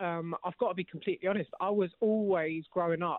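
A high-pitched man with a London accent. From East London. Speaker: actor. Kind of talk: casual chat.

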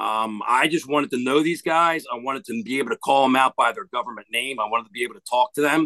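A man with a strong New Jersey accent talks at medium pitch and a fairly quick pace, his intonation lively. His tone is bright and sharp, and the sound is dry and close with no echo. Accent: thick New Jersey. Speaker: hitting coach, former cop. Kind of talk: casual interview chat.

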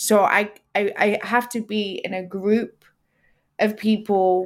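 A woman's medium-pitched voice with an African accent and monotone, flat intonation, in a very clean recording with a silent background. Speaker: twitch streamer and podcaster. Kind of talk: casual chat.

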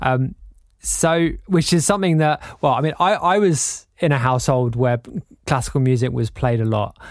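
With an English accent, a man speaks in very even loudness and lively intonation. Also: medium pitch for a man, moderate pace. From England. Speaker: podcast host. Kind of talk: casual interview.

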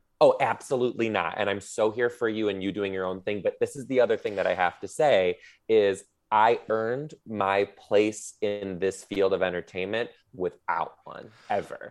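A plain, everyday voice speaks at a moderate pace with fairly even intonation over a quiet background. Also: man, fairly low pitch for a man. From US Midwest (Detroit, Michigan). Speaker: comedian and teacher. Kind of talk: casual chat.

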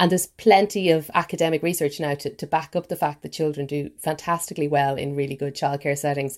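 A woman with an Irish accent and a very deep, low pitch, very fast with hardly any pauses and fairly even intonation. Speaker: newspaper features writer. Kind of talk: news podcast interview.

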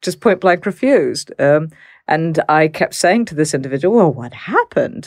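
A normal speaking voice from a woman with an American accent, fairly low in pitch, lively in intonation, at a moderate pace with big swings in loudness, in a very clean recording with a silent background and a dry, close sound with no echo. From Texas. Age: middle-aged. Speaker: criminologist. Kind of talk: interview.

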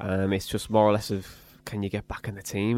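The voice, in a Teesside accent, moves at a very fast pace in a flat monotone. The recording is very clean with a silent background, and the sound is dry and close with no echo. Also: man. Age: 20s. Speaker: football podcast host. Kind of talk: casual chat.

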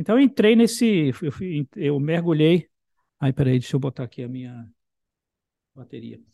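A man's dark, mellow tone at a fairly high pitch, moderately paced with long, frequent pauses, very wide pitch swings and big swings in loudness, in a dry, close sound with no echo. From Brazil, Bahia. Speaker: composer and professor. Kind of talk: interview. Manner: halting, repetitive.

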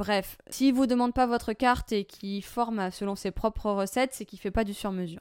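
This woman has an ordinary speaking voice with a fairly high pitch and fairly even intonation, moving at a fairly quick pace with hardly any pauses. The sound is dry and close with no echo, on a very clean recording with a silent background. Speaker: coffee trainer and consultant. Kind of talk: solo podcast talk.

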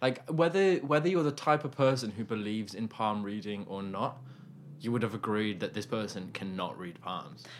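This man has a normal speaking voice at a medium pitch, with lively intonation and a moderate pace. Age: 20s. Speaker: podcast co-host. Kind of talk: casual chat.

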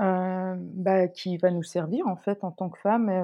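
Medium-pitched female speech at a fairly slow pace. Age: 40s. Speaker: sociologist. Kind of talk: interview. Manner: halting.

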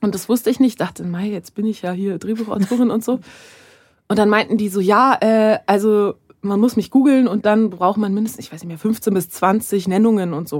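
Pitch shifts in a normal way at a moderate speed. It is an ordinary speaking voice. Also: woman, medium pitch for a woman. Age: 30s. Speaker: screenwriter. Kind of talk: casual chat.

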